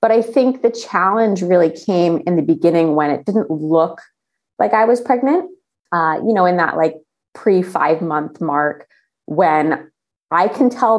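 In a normal speaking voice, a woman talks at a fairly slow pace with fairly low pitch and ordinary pitch variation against a quiet background. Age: 30s. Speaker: travel journalist and athlete. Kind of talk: casual chat.

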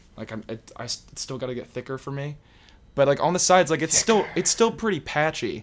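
A man speaks at a fairly quick pace in a plain, everyday voice pitched fairly high. His intonation is lively and his loudness swings widely. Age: young. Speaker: podcast guest. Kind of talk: casual chat.

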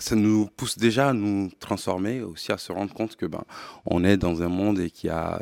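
At a moderate pace with ordinary pitch variation, the voice sounds dry and close with no echo. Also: man. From Mali. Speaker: tech company CEO. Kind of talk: interview. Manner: halting.

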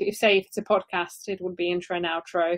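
A woman with a normal speaking voice talks at a fairly quick pace, her medium pitch carrying fairly even intonation. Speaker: audio branding company CEO. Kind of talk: interview advice. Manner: laughs often.

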